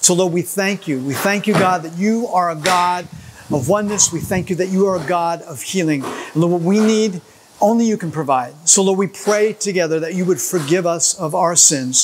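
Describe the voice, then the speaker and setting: A man's high-pitched voice over light background noise. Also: ordinary pitch variation, moderate pace. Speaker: church pastor leading prayer. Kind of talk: fervent prayer led for a church. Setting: construction site during demolition, filmed video. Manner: earnest, impassioned, rhythmic invocation of 'Lord' and 'God'; upbeat, energetic in the opening demo intro. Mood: earnest, fervent. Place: hall.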